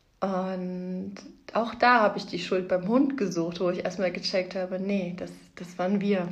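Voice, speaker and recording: Audible room echo surrounds a woman speaking at a fairly slow pace. Her pitch is medium and her intonation fairly even. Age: 30s. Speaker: podcast host, mother. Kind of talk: casual monologue.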